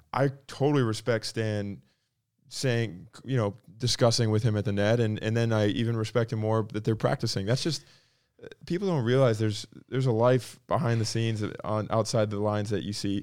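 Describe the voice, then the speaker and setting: A man talks in a normal speaking voice at medium pitch, with ordinary pitch variation and a fairly quick pace. The recording is very clean, with a silent background. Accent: American. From North Florida. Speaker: professional tennis player. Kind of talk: interview.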